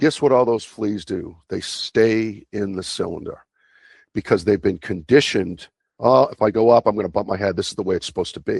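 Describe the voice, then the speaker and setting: The speech moves at a fairly quick pace with ordinary pitch variation against a quiet background. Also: man, fairly low pitch for a man. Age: 60s. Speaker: longevity coach. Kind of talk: interview. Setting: podcast. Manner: animated.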